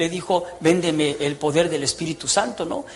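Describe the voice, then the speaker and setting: A man speaks at a high pitch and a moderate pace. Noticeable background noise can be heard. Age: 60s. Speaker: former priest giving testimony. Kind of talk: testimony. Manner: animated.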